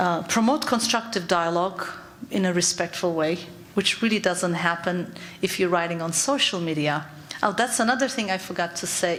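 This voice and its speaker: A woman's medium-pitched voice with a Turkish accent, lively intonation and a moderate pace, plus audible room echo and noticeable background noise. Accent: Turkish accent, kept. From Turkey. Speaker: psychologist. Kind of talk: conference talk. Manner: halting.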